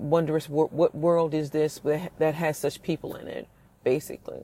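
A woman speaks at a moderate pace with a very deep, low pitch and a dark, mellow tone. Her intonation is monotone and flat. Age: 40s. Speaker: podcast host and minister. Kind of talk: devotional teaching monologue. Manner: reflective, with frequent filler and restarts.

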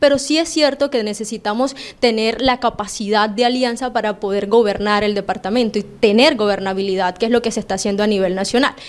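Talking at a fairly quick pace with hardly any pauses, a woman uses a fairly high pitch and ordinary pitch variation over noticeable background noise. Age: 20s. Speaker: political candidate. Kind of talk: interview.

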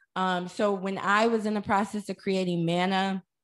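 In a very clean recording with a silent background, a woman with an American accent has a normal speaking voice, medium pitch, ordinary pitch variation and a moderate pace. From US Midwest, St. Louis, Missouri. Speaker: wellness entrepreneur and podcaster. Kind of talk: interview.

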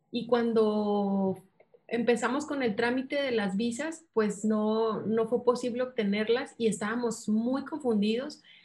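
A fairly high-pitched woman with a Sinaloan accent, fairly even intonation and a fairly slow pace. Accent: Sinaloa. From Mexico, Mazatlán, Sinaloa. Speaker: missionary. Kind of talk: interview.

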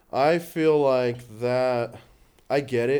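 A man's voice carries a dark, mellow tone. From born in Los Angeles, raised in Canada. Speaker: stand-up comedian. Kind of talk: casual interview chat. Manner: soft-spoken, chill.

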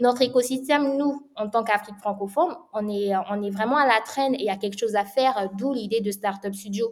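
A woman's plain, everyday voice, fairly high in pitch, with ordinary pitch variation and a fairly quick pace. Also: hardly any pauses. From Republic of the Congo (Brazzaville). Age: 20s. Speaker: startup studio co-founder. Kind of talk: interview.

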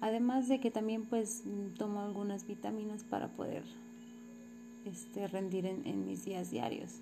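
Against audible room echo and music in the background, a woman talks at a fairly slow pace with long, frequent pauses. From Mexico, Morelos. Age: 30s. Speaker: physical education teacher. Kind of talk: personal narrative for a course assignment. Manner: halting, with many repetitions and fillers.

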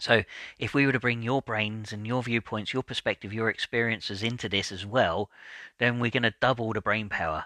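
A man's bright, sharp voice at medium pitch, fairly quick and fairly even in intonation, with a dry, close sound and no echo. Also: quiet background. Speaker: podcast host and coach. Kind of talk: solo podcast episode, advice talk. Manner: positive, encouraging.

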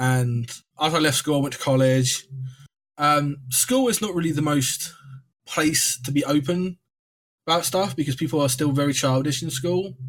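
This man talks at a moderate pace with a fairly high, somewhat breathy voice, ordinary pitch variation, and long, frequent pauses. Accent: English. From England. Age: 20s. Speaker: podcast guest sharing mental health story. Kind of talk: casual chat.

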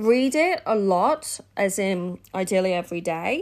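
On a very clean recording with a silent background, a woman with an Australian accent speaks at a medium pitch with lively intonation. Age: 30s. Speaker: business coach podcast host. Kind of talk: casual solo podcast monologue. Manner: chatty, laughing.

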